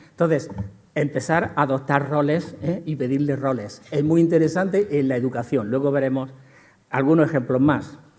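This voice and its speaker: A man speaks with ordinary pitch variation. Room echo can be heard around his voice. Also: fairly high pitch for a man, moderate pace. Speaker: lecturer in behavior analysis. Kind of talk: conference lecture. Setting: conference hall with audience.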